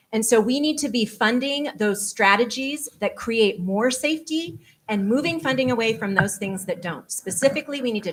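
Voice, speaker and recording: Somewhat breathy, a woman speaks at a moderate pace with a fairly high pitch and lively intonation. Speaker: mayoral candidate. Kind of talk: candidate forum answer. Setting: public forum with microphones.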